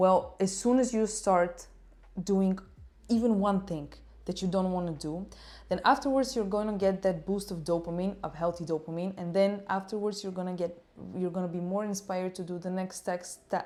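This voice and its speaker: In a Bulgarian accent, a woman with a dark, mellow tone and medium pitch speaks at a moderate pace with fairly even intonation. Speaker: life coach and YouTuber. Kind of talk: talking-head self-help advice.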